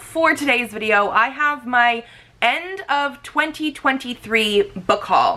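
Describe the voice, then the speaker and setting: At a very slow pace, a woman with a high pitch speaks in a raised, projected voice, her intonation lively and loudness very even, amid noticeable background noise. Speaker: book reviewer. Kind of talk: casual talk to camera.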